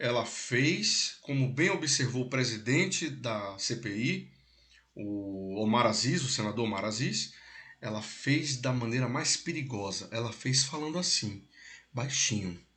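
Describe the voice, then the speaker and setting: In a room with audible echo, a man with a bright, sharp tone speaks at a medium pitch and a fairly slow pace, his intonation lively. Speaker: political commentary host. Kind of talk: casual political discussion. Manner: animated.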